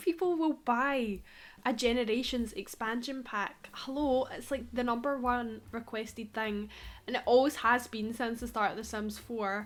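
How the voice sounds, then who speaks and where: With a Scottish accent, a woman talks at a moderate pace with fairly high pitch and ordinary pitch variation. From Scotland. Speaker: Sims YouTuber. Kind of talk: casual gaming vlog rant. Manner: animated.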